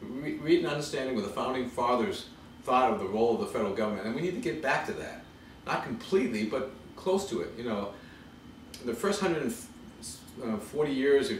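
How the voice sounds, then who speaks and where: A man with an American accent at a fairly quick pace, medium in pitch with very wide pitch swings, amid audible room echo and noticeable background noise. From Massachusetts. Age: 50s. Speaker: congressional candidate. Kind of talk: interview. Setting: at home.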